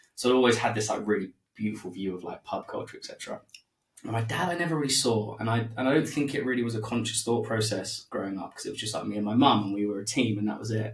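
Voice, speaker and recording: A somewhat breathy man's voice at a very fast pace. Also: medium pitch for a man, ordinary pitch variation. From East London, England. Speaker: podcaster, former musician in recovery. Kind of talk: casual interview conversation.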